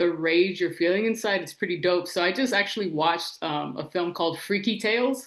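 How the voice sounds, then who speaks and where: A woman with an American accent speaks in a normal speaking voice at a fairly low pitch. She talks at a fairly quick pace with ordinary pitch variation and hardly any pauses. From Los Angeles. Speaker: TV writer and director. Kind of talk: casual interview chat. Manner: casual, slangy with frequent 'like'.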